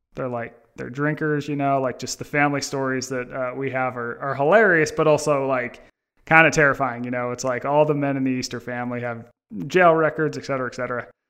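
A man with an American accent speaks at a very fast pace with fairly even intonation against a quiet background. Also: medium pitch for a man. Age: 30s. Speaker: author. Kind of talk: interview.

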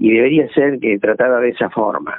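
This man talks at a moderate pace in an ordinary speaking voice, medium in pitch with ordinary pitch variation. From Argentina, southwest Buenos Aires province. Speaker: retired agronomist. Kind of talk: interview.

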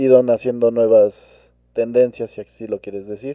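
Against a quiet background, a man with a dark, mellow tone and a medium pitch speaks at a very slow pace with fairly even intonation, in a dry, close sound with no echo. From Mexico. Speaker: podcast co-host. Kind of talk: casual chat.

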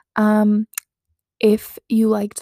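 Fairly high in pitch, a woman speaks with a dry, close sound with no echo. The recording is very clean, with a silent background. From Canada. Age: 20s. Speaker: podcast host. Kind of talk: casual solo podcast monologue. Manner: low energy, casual.

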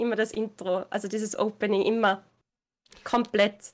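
A woman speaks in a normal speaking voice with fairly high pitch. Her pace is moderate. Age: 20s. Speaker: gaming streamer. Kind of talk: interview.

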